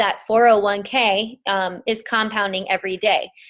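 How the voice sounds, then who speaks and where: On a very clean recording with a silent background, a woman talks at a fairly slow pace with fairly even intonation in a plain, everyday voice. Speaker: network marketing team leader. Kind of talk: training call. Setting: conference call.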